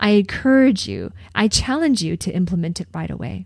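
This woman's voice is medium in pitch and somewhat breathy. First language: not English. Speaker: podcast host and career coach. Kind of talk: solo podcast monologue, coaching talk. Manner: conversational, frequent self-corrections.

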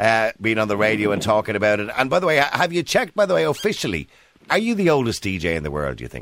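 A man's fairly low voice in an Irish accent, very fast, with very wide pitch swings, on a very clean recording with a silent background. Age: 50s. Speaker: talk radio host. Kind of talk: radio interview; radio monologue. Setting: studio.

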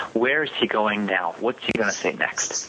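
A man talks at a medium pitch while noticeable background noise is heard. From Quebec. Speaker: public speaking contest finalist. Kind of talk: interview. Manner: hesitant with repetitions.

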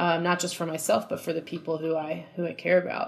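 A woman with an American accent and an unremarkable speaking voice talks at a fairly low pitch with fairly even intonation. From New Jersey. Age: 30s. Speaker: musician. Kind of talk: interview conversation.

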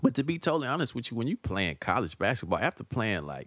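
A man with a Southern US accent talks at a very fast pace, his medium pitch making very wide swings. There is vocal fry, and the background is quiet. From US South. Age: 40s. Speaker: stand-up comedian. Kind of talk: casual chat. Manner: laid-back.

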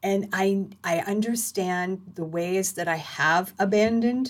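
A woman talks in a plain, everyday voice at a fairly slow pace. Her pitch variation is ordinary. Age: 50s. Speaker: podcast host. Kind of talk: personal monologue.

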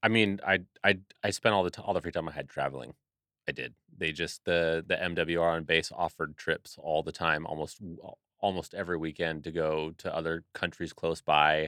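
Very deep and low, a man's voice carries a bright, sharp tone and fairly even intonation, with a dry, close sound and no echo. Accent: American. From Seattle, Washington. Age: 30s. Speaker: Navy veteran, audio engineer. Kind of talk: casual chat.

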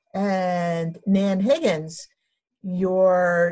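Somewhat breathy, a woman speaks with a fairly low pitch. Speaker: podcast host. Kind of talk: casual interview chat. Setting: video call.

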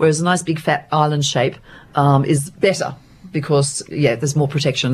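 A woman speaks at a moderate pace in a very deep, low pitch. Her voice is somewhat breathy. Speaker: theatre performer and producer. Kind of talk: radio interview, casual chat.

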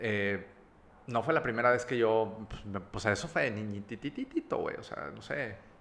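A man speaks at a fairly slow pace, his loudness swinging widely. Noticeable background noise is present. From Mexico, Monterrey (with childhood in Campeche and Veracruz). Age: 30s. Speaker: recovered drug addict, advertising creative. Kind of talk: testimony.

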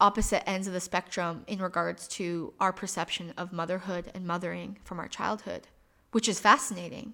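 A woman with an American accent and a plain, everyday voice, medium in pitch, at a moderate pace with fairly even intonation, on a very clean recording with a silent background. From Michigan, US Midwest. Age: 30s. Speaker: podcast host. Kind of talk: personal monologue.

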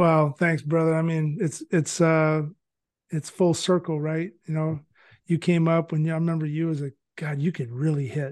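A man's voice, an unremarkable speaking voice, fairly high in pitch, with an American accent, at a moderate pace over a quiet background. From California. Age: 40s. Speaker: former baseball player and scout. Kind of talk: casual interview.

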